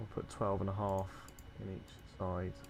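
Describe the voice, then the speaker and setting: A man with a British accent speaks at a fairly slow pace. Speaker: gaming streamer. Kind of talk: live game stream commentary. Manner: monotone.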